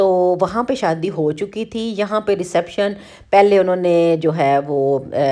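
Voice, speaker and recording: Pitch moves in an ordinary way here. The tone is dark and mellow. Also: woman, medium pitch for a woman. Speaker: vlogger. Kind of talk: vlog voice-over narration.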